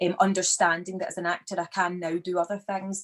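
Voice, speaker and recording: The speaker has a Glaswegian accent. The pace is moderate. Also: woman. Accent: Glaswegian accent, educated. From Scotland, Glasgow. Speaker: actor. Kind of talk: interview conversation. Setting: video call.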